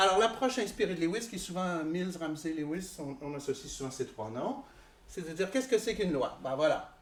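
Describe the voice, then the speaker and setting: With audible room echo, a man talks at a fairly quick pace and a high pitch. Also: lively intonation. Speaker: philosophy professor. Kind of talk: lecture. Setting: conference hall with audience.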